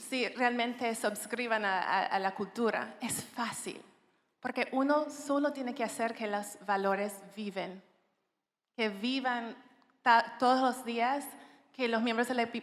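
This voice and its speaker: Her pitch fairly high, a woman speaks at a very slow pace with fairly even intonation. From Jamaica. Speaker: HR executive, panelist. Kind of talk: panel discussion. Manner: halting, reading from notes.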